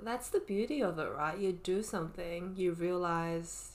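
The woman has an ordinary speaking voice, pitched fairly low, and she speaks at a fairly slow pace. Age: 20s. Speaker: podcast co-host. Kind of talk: casual chat.

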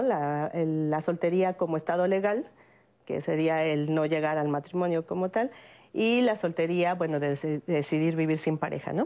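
A woman's fairly low voice in a dark, mellow tone, at very even loudness against a quiet background. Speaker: sociologist. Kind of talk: panel discussion.

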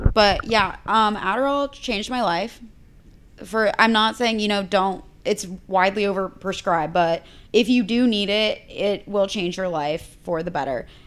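A woman with an American accent and an ordinary speaking voice, medium pitch, ordinary pitch variation and a moderate pace, on a very clean recording with a silent background. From Texas (Bryan College Station), later Indiana. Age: 20s. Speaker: influencer. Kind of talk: casual chat.

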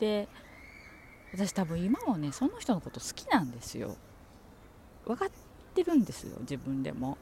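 The loudness swings widely, and long pauses come often. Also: woman, moderate pace. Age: 40s. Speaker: podcaster. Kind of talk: casual chat. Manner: rambling, relaxed.

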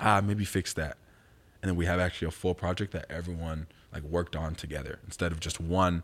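A man's very deep, low voice at a fairly quick pace, monotone and flat, on a very clean recording with a silent background. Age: 20s. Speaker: youth pastor. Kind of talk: casual chat.

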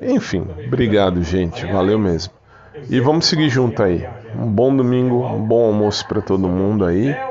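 A fairly low-pitched man at a moderate pace, with ordinary pitch variation, audible room echo and noticeable background noise. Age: 40s. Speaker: podcaster. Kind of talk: casual monologue.

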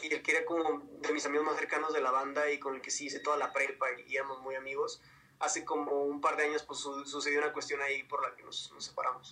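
Over noticeable background noise, a man talks very fast at a fairly high pitch with fairly even intonation. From northern Mexico, Ciudad Juárez. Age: 20s. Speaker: pop singer. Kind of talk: interview.

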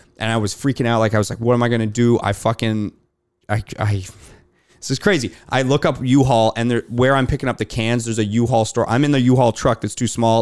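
A man with a Canadian accent speaks at a medium pitch and a fairly quick pace, his intonation monotone and flat. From Canada. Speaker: beverage company founder. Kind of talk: casual chat.

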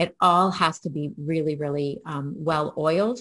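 A woman's somewhat breathy, fairly low voice at a moderate pace, with fairly even intonation, a dry, close sound with no echo and a quiet background. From Canada, Toronto. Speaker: family physician. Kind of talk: conference keynote presentation.

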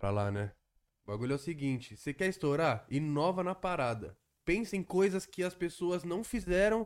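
On a very clean recording with a silent background, a man with a normal speaking voice uses lively intonation. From Guarulhos, São Paulo state, Brazil. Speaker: independent rap artist. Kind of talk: casual chat.

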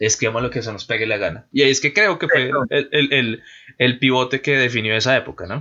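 A man's fairly quick delivery with a bright, sharp tone, medium pitch and ordinary pitch variation. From Colombia. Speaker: podcast host. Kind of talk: casual chat. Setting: online voice call.

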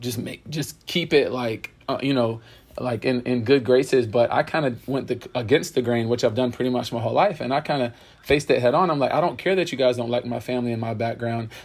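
A man with a normal speaking voice and an American accent, medium pitch, ordinary pitch variation and a fairly quick pace. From US South, Pensacola, Florida. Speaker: PE teacher and basketball coach. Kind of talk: interview.

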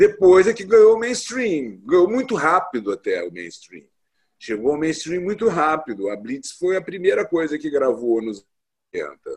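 The speech unfolds at a fairly slow pace. Pitch swings are very wide, and loudness swings a lot as well. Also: man, high pitch for a man. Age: 50s. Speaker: translator and editor. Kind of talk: interview. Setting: video call.

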